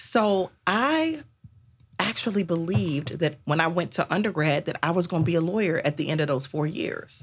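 A woman speaks with an American accent at a moderate pace, her voice fairly low and somewhat breathy. Her intonation is lively. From Washington, D.C. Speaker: intellectual property attorney. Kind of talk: interview.

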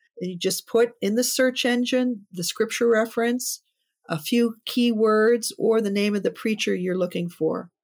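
An ordinary speaking voice from a woman with an American accent, fairly high in pitch, at a moderate pace with ordinary pitch variation. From Pittsburgh, Pennsylvania, US. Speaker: co-founder of a women's preaching ministry. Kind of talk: casual interview.

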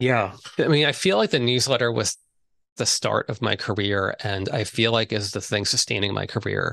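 A man's medium-pitched voice with a bright, sharp tone and vocal fry, at a moderate pace, in a dry, close sound with no echo over a quiet background. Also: ordinary pitch variation. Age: 50s. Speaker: book marketing consultant for writers. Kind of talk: interview.

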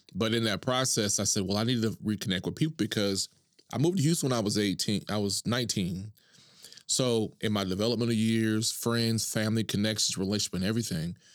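Speaking very fast with an American accent, a man keeps his loudness very even and his fairly low pitch varies an ordinary amount. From Oklahoma, Duncan. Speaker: entrepreneur. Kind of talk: interview conversation.

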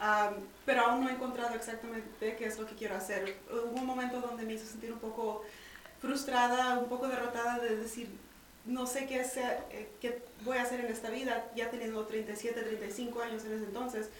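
A woman's fairly high-pitched voice, flat and monotone in intonation, at a moderate pace, with audible room echo. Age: 30s. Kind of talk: interview.

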